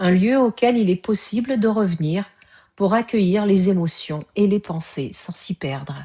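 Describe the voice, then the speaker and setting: Somewhat breathy and dark, mellow in tone, this voice moves at a fairly slow pace with lively intonation. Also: woman. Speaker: yoga nidra guide. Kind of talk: guided yoga nidra relaxation. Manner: slow, soft-spoken, calm.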